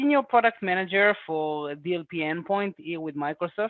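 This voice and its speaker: An Israeli accent at a moderate pace. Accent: Israeli accent, noticeable. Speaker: senior product manager. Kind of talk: interview.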